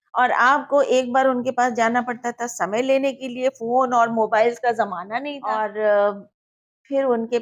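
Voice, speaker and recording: Here a woman speaks in an unremarkable speaking voice. Her pitch is fairly high, and the recording is very clean with a silent background. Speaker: radio announcer and journalist. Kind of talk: interview answer.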